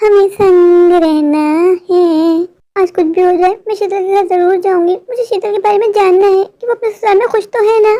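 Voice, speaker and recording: In a cartoonish character voice, a woman speaks at a fairly quick pace with an extremely high pitch and fairly even intonation. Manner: emotional, earnest.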